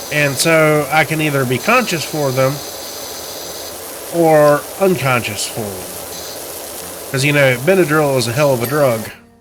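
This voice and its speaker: With long, frequent pauses, a man speaks at a fairly high pitch amid audible room echo and noticeable background noise. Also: ordinary pitch variation, moderate pace. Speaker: gaming YouTuber. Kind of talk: gameplay commentary. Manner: casual, animated.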